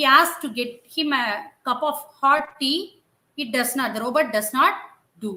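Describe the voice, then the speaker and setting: Speaking fairly slowly, a woman projects a raised, high voice that has a bright, sharp tone. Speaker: teacher trainer. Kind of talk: training session. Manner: halting.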